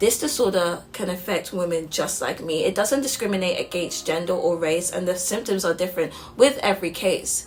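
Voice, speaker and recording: With music in the background, a woman speaks at a medium pitch and with hardly any pauses. Her pitch moves in an ordinary way. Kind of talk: spoken word poetry performance.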